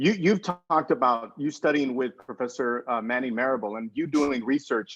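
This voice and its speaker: A man with an American accent and an unremarkable speaking voice talks at a moderate pace in a medium pitch, with ordinary pitch variation and hardly any pauses. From Texas, Brownsville, lower Rio Grande Valley. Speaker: historian and author. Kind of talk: casual chat.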